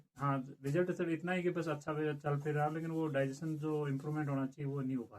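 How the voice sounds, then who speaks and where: A man speaks in a fairly high pitch with fairly even intonation. His loudness swings widely. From Rajasthan, India. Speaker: alternative therapist. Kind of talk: interview. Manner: halting.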